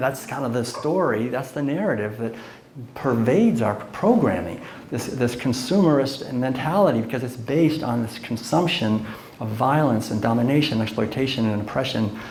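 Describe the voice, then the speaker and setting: Audible room echo and noticeable background noise surround the recording. A man speaks in a medium-pitched voice with ordinary pitch variation. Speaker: lecturer and author. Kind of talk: lecture. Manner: conversational with fillers.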